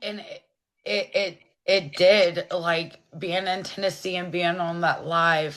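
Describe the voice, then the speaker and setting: Speaking very slowly in a fairly low pitch, a woman keeps a monotone, flat intonation while her loudness swings widely. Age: 30s. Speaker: guest sharing her life story. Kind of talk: testimony.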